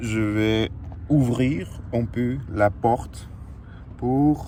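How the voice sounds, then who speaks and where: In a Russian accent, a man speaks at a very slow pace. His medium-pitched voice has a dark, mellow tone and ordinary pitch variation. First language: Russian (speaking French). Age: 20s. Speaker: fitness coach and vlogger. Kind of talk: casual vlog monologue. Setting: in a car. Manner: halting, many hesitations.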